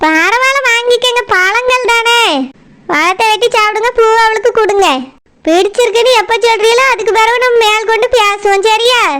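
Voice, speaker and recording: Putting on a cartoonish character voice, a woman speaks at a fairly slow pace in an extremely high pitch, with fairly even intonation and very even loudness. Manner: coaxing, smooth-talking.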